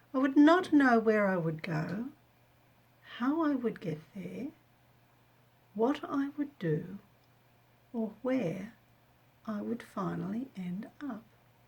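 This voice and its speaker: In an Australian accent, this voice moves at a very slow pace with long, frequent pauses and very wide pitch swings. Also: woman, fairly high pitch for a woman. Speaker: missionary. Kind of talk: audiobook reading of own memoir.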